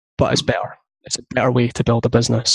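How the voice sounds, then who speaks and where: This somewhat breathy voice moves at a fairly quick pace in a dry, close sound with no echo. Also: man. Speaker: content marketing business founder. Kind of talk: interview. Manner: fast.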